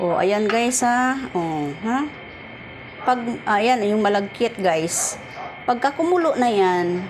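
At a very slow pace, a woman with a Visayan accent speaks at a fairly high pitch with lively intonation and very even loudness, over noticeable background noise and audible room echo. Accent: Visayan accent in Tagalog. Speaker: vlogger. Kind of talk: cooking tutorial. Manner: casual, with many fillers.

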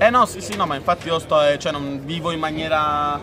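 Fairly quick male speech over noticeable background noise. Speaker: live streamer. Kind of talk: casual conversation. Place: street. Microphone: phone near.

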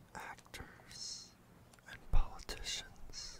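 Whispering amid noticeable background noise. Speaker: ASMR roleplay tour guide. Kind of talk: ASMR roleplay carriage tour narration. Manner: soft, relaxing, whispered.

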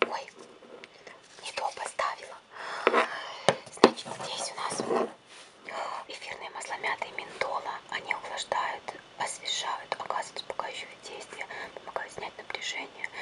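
A woman whispers at a fairly slow pace, with long, frequent pauses between phrases. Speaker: ASMR creator. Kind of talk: ASMR product review. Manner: whispered. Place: home room.

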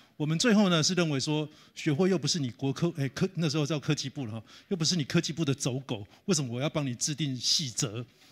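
Over a quiet background, a man with a fairly high pitch speaks at a very fast pace with ordinary pitch variation. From Taiwan. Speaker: professor. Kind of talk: lecture. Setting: conference hall with audience. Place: hall. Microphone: handheld.

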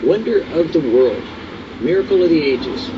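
A man speaks at a moderate pace. Noticeable background noise runs behind him. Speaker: devotional host. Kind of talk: sermon. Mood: calm, earnest. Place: garden.

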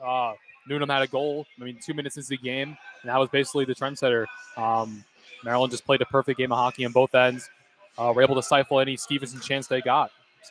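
Over noticeable background noise, a man talks at a very fast pace in a monotone, flat intonation with big swings in loudness and a dry, close sound with no echo. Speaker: color commentator. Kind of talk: live sports analysis between plays. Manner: measured, explanatory, conversational.

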